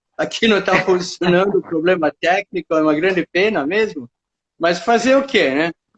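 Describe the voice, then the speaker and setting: A man with a high voice speaks at a fairly slow pace, his intonation lively. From northern Italy, then Africa. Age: 70s. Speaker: nature guide. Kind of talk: life story interview. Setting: live stream audio from home. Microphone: unstable internet connection.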